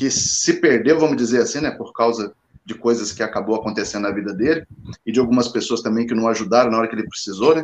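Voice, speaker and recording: A man is speaking. His pace is very fast. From Guarujá, São Paulo state. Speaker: goalkeeper coach. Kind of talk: casual chat.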